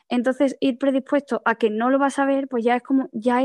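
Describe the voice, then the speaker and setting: A woman with a Spanish accent and a high pitch talks at a moderate pace in a dry, close sound with no echo. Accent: Peninsular Spanish. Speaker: blind panelist. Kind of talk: online panel discussion.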